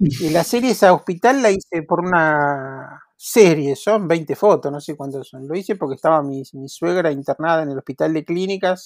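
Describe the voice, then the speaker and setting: This is a man with an ordinary speaking voice, fairly high in pitch with ordinary variation, talking at a fairly slow pace. The sound is dry and close with no echo, and the recording is very clean with a silent background. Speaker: photographer and photography teacher. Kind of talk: interview conversation.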